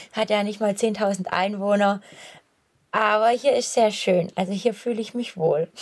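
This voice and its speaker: Her voice is fairly high, with ordinary pitch variation. The woman speaks at a fairly slow pace. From Swabia, Swabian Jura. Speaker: long-distance runner. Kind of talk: casual chat. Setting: outdoors, on a run.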